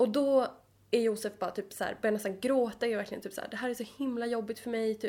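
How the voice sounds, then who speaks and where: Talking very fast, a woman uses a fairly high pitch, a dark, mellow tone and monotone, flat intonation. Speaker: podcast co-host, psychology student. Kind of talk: casual chat.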